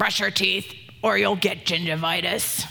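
A put-on character voice at a middle pitch. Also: moderate pace. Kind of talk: put-on, comedic. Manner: stern, scolding.

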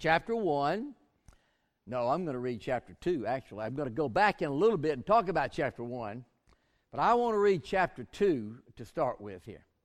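The man's pitch swings very widely while he keeps a moderate pace, and the background stays quiet. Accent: Southern US. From US South, southwest Georgia. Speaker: pastor. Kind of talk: sermon. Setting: church.

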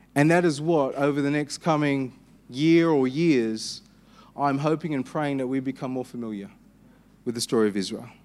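A man with an Australian accent and fairly high pitch, at a moderate pace with ordinary pitch variation, in a very clean recording with a silent background. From Western Australia. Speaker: pastor. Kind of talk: sermon. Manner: hesitant, frequent fillers.

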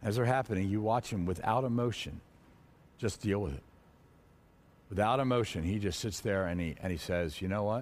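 A man with a fairly low pitch and ordinary pitch variation talks at a fairly quick pace but leaves long, frequent pauses. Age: 50s. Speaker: men's ministry teacher. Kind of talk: motivational talk to men. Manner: halting.

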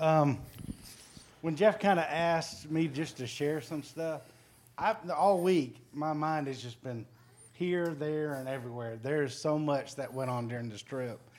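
This man's voice sits at a fairly high pitch with ordinary pitch variation. He talks at a fairly slow pace. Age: 40s. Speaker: church member sharing trip testimony. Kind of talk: testimony.

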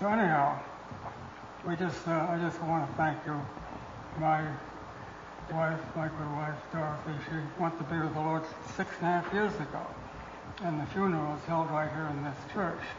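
A man speaks at a moderate pace in a flat, monotone delivery. Noticeable background noise runs under long, frequent pauses. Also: fairly high pitch for a man. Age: 80s+. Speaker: retired missionary. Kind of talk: testimony. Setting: church with congregation. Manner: halting.

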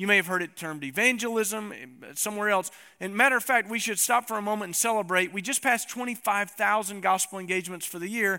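A man with an American accent talks at a very fast pace in a raised, projected voice. His pitch is high, and his tone is bright and sharp. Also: ordinary pitch variation. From East Tennessee. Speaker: pastor. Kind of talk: sermon. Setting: church.

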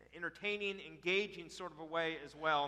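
Projecting his voice loudly, a man speaks with a bright, sharp tone and ordinary pitch variation. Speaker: church announcer introducing speaker. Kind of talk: church welcome and introduction. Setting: church.

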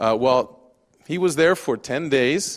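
A man with an American accent talks in a normal speaking voice with lively intonation. The background is quiet. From Japan. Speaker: missionary pastor. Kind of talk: sermon. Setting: church.

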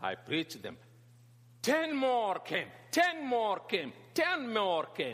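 Using a Sudanese accent, a man speaks at an extremely high pitch with very wide pitch swings, a very slow pace and long, frequent pauses. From northern Sudan. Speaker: pastor and teacher on Islam. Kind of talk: talk or lecture to a church audience. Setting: church hall with audience. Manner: halting, repeats words.

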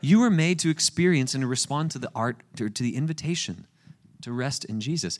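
With an American accent, a man speaks at a fairly quick pace and fairly high pitch, his tone animated and his intonation lively. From US South, Florida Panhandle (Panama City Beach). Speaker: guest pastor. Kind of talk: sermon. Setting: church with congregation.

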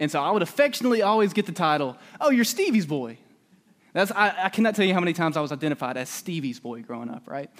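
A high-voiced man with a Southern US accent speaks at a very fast pace, his pitch swinging very widely. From Alabama, US South. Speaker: preacher. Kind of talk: sermon. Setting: church.

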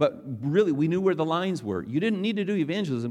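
Very wide swings in pitch from a male speaker. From North Dakota, US. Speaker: pastor. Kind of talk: sermon. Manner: animated.

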